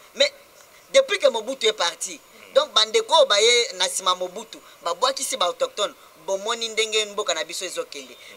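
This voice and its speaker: Against light background noise, a man speaks at a moderate pace, leaving long, frequent pauses. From DR Congo. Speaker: interviewee, community spokesman. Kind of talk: TV talk show interview. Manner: halting. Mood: earnest, animated complaint.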